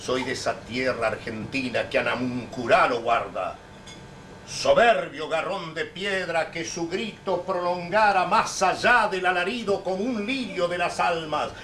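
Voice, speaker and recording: A man talks at a fairly slow pace with lively intonation and a high pitch. Light background noise can be heard. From Neuquén, Argentina. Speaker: poet. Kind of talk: poetry reading. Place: hall. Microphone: old recording.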